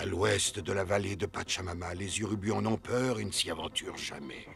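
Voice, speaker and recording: In a cartoonish character voice, a man speaks at a moderate pace with a fairly low pitch and a solemn tone, over clear background noise. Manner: solemn, formal.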